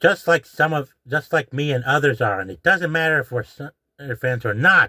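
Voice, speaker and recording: A moderate pace with lively intonation, a bright, sharp tone and a dry, close sound with no echo. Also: man, fairly high pitch for a man. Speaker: YouTube commentator. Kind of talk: rant. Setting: in a closet at home. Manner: hushed, keeping voice down; agitated.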